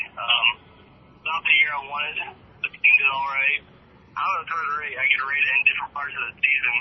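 A man keeps a moderate pace while noticeable background noise goes on around him. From Kansas City, US Midwest. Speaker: college football quarterback. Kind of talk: interview. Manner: halting.

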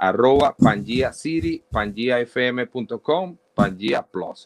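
This man has a medium pitch and speaks with lively intonation. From Maracaibo, Venezuela (Zulia). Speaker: radio presenter. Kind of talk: casual interview.

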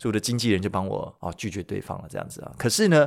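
The speech carries lively intonation and an animated tone. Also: man, very clean recording, silent background. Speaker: YouTuber and podcaster, former radio DJ. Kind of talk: casual solo podcast storytelling. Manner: animated, frequent laughs and filler particles.

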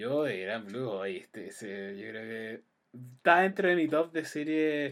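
With a Chilean accent, a man speaks at a very slow pace and swings his pitch very widely. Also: medium pitch for a man, big swings in loudness. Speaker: podcast host. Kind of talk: casual chat.

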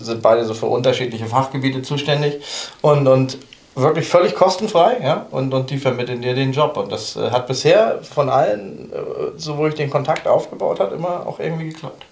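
Amid noticeable background noise and audible room echo, a man speaks at a fairly quick pace in a fairly high pitch with ordinary pitch variation. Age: 40s. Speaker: football coach. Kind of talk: casual chat.

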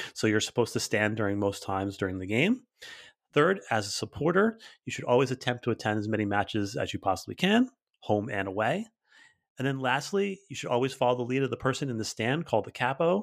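Very fast and enthusiastic, a man speaks at a medium pitch with lively intonation. The recording is very clean, with a silent background. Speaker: soccer podcast host. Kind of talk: casual podcast hosting.

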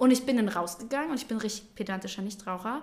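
A woman's fairly high, somewhat breathy voice at a very fast pace, with ordinary pitch variation. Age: 20s. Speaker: daycare centre manager. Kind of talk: casual chat.

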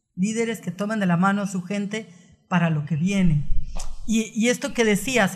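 A woman's voice is somewhat breathy. She speaks at a fairly slow pace. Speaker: psychotherapist. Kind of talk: interview.

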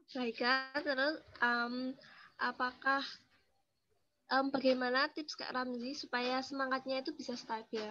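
The woman's voice sits at a high pitch. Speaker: student event host. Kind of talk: casual interview.

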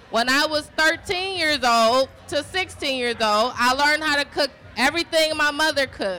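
Here a woman talks with a high pitch and ordinary pitch variation. Her pace is moderate. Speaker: panelist.

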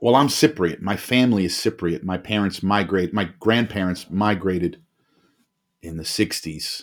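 A man talks at a moderate pace with an East Coast American accent. His pitch varies in an ordinary way. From US Northeast, New Jersey (Bergen County). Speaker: former police officer living with bipolar disorder. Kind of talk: casual chat. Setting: remote call, home studio mic.

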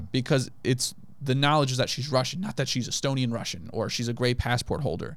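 In a normal speaking voice, a man with an American accent talks at medium pitch with fairly even intonation. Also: very clean recording, silent background. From grew up abroad as a US military child (Japan, Kenya, Germany, Turkey, US). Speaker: comedian. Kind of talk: casual chat. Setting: studio.

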